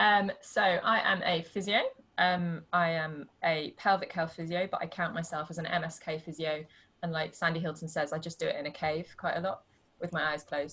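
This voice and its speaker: Speaking at a moderate pace with a British accent, a woman has a fairly low pitch and a bright, sharp tone. Her intonation is fairly even. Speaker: pelvic health physiotherapist. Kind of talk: casual interview. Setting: video call.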